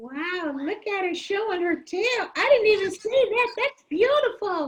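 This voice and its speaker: At a moderate pace, an extremely high-pitched cartoonish character voice speaks. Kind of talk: puppet show interview questions. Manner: excitable, wondering.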